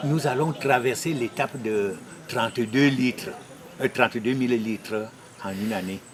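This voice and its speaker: A man speaks fairly slowly at medium pitch, with ordinary pitch variation and noticeable background noise behind him. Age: 60s. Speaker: farmer group delegate. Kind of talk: interview.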